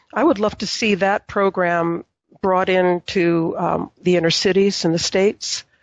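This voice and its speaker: A woman with a medium-pitched voice speaks fairly slowly, her intonation monotone and flat. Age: 60s. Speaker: business owner. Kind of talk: interview.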